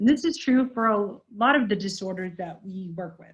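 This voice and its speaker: Somewhat breathy, a woman speaks at a medium pitch with lively intonation. Her pace is moderate. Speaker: university lecturer in speech-language pathology. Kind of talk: recorded online lecture. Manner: casual, filler-heavy; occasional self-reported stutters.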